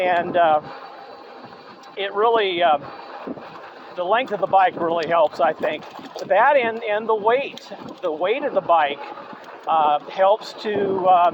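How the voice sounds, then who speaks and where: Speaking at a very slow pace with long, frequent pauses, this voice comes through over noticeable background noise. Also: man, high pitch for a man, ordinary pitch variation. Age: 60s. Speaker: e-bike reviewer. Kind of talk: product review while riding. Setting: outdoors on a trail ride. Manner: halting, many fillers.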